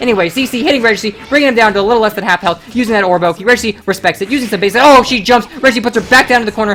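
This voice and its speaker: A woman talks at a very fast pace in a fairly high pitch. Noticeable background noise runs underneath. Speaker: fighting game tournament commentator. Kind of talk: live commentary. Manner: animated.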